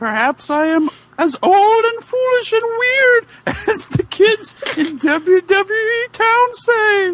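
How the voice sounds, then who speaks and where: A man puts on a squeaky character voice at an extremely high pitch. He speaks at a very slow pace. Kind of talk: comic amateur dramatic reading. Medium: read story.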